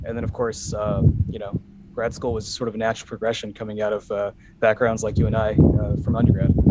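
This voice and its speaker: Over noticeable background noise, a man with an American accent speaks at a very fast pace, his fairly low pitch held in a monotone, flat intonation. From Los Angeles, US. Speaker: data analytics executive and entrepreneur. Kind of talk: podcast interview. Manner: halting, many fillers.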